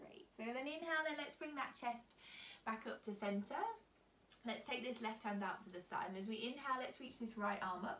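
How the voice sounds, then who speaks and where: A woman talks at a fairly quick pace. Audible room echo and light background noise surround her voice. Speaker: yoga instructor. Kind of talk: guided yoga instruction. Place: home room. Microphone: camera far.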